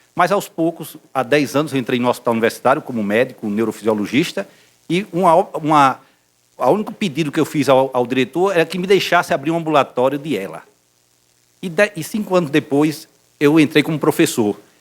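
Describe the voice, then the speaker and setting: Lively intonation at a fairly quick pace. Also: man, fairly high pitch for a man. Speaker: neurologist professor. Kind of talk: medical lecture. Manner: halting, many fillers.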